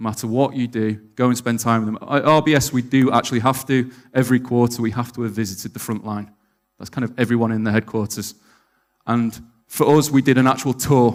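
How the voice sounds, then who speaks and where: Speaking with a Mancunian accent at a very fast pace, a man holds a medium pitch and fairly even intonation on a very clean recording with a silent background. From Manchester, northern England. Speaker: conference speaker, bank optimisation lead. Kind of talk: conference talk. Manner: monotone.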